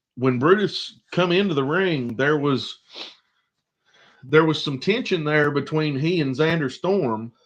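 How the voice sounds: A man speaks slowly with a fairly high pitch, ordinary pitch variation, and long, frequent pauses.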